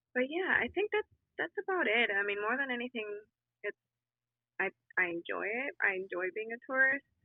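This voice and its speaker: A moderate pace and very wide pitch swings, with a slight Colombian accent. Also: woman. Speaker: podcast guest. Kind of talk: casual chat. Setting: video call.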